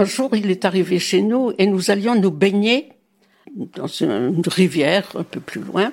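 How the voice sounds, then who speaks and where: Lively intonation marks this woman's voice. She speaks at a very slow pace. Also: medium pitch for a woman. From Brittany, Morbihan. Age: 90s. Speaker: grandmother telling her life story. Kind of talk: testimony. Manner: halting.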